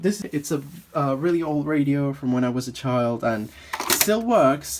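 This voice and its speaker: Noticeable background noise accompanies a man speaking with a medium pitch. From Madeira, Portugal. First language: Portuguese. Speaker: art student vlogger. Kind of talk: vlog. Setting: home studio. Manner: casual, halting.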